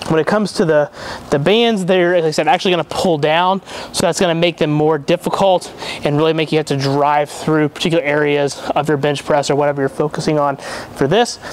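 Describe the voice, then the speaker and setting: A man talks at a fairly quick pace with fairly even intonation. The sound is dry with no echo, over light background noise. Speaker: strength coach. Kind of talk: tutorial. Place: gym.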